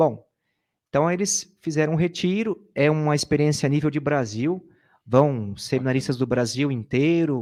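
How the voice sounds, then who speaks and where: A man with an unremarkable speaking voice and a fairly high pitch talks at a moderate pace with ordinary pitch variation on a very clean recording with a silent background. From Brazil, Sorocaba, São Paulo state. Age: 30s. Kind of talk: interview, sharing personal testimony. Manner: casual, conversational.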